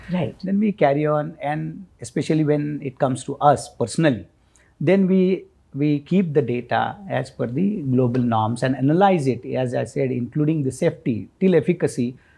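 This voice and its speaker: Against a quiet background, a man with a fairly high pitch and a dark, mellow tone sounds somewhat breathy, speaking at a moderate pace with lively intonation. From India. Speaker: Ayurveda doctor; guest. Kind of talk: expert interview. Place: studio.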